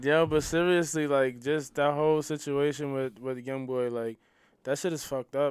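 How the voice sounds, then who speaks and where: On a very clean recording with a silent background, a man with a normal speaking voice talks at a moderate pace in a fairly high pitch with fairly even intonation. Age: 50s. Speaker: podcast co-host. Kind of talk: casual chat.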